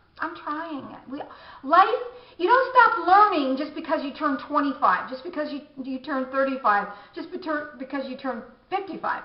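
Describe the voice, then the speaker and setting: Moderate pace with audible room echo and noticeable background noise. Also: woman. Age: 50s. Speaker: beauty vlogger. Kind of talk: casual vlog monologue. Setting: home bathroom. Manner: halting, many restarts.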